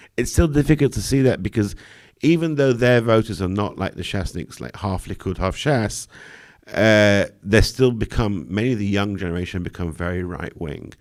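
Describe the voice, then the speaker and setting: Speaking with a British accent at a fairly quick pace, a man with a fairly low pitch and lively intonation comes through on a very clean recording with a silent background. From Britain. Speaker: political journalist. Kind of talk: live Q&A analysis.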